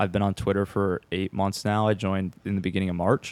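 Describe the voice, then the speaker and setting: In a flat monotone, a man speaks at a fairly low pitch, the sound dry and close with no echo. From Minnesota, Twin Cities area. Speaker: videographer and agency founder. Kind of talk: podcast interview.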